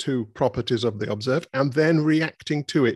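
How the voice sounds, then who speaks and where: A man with a British accent, fairly high in pitch, at a moderate pace with ordinary pitch variation. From Britain. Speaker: philosopher. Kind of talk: interview conversation. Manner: halting, with many repetitions and fillers.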